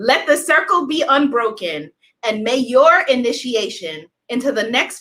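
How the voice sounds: Lively intonation and a fairly bright tone come through at a fairly slow pace. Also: woman.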